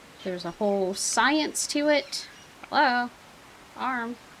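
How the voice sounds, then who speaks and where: Amid noticeable background noise, a woman shouts at a high pitch with lively intonation, yet also mumbles. She speaks at a very slow pace, with long, frequent pauses. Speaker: gaming YouTuber. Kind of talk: let's play commentary. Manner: mumbling then shouting; casual, filler-heavy.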